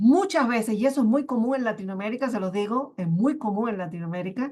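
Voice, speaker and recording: A woman at a fairly quick pace with lively intonation, over a quiet background. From Cuba. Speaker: genetic resources official. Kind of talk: panel discussion.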